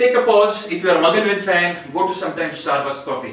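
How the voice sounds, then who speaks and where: Noticeable background noise runs through the clip. Audible room echo is also heard. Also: man. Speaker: public speaking club member. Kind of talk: prepared speech. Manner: halting with repetitions.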